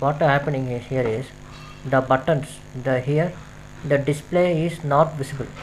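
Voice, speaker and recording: Music plays behind a man speaking with fairly even intonation. He leaves long, frequent pauses. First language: not English. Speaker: coding tutorial creator. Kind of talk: tutorial. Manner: halting, many fillers.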